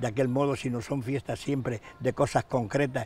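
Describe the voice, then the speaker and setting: With a monotone, flat intonation, a man talks at a medium pitch. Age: 90s. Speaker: retired metalworker and writer, community figure. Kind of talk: interview. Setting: outdoors in a town square. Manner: halting, many fillers.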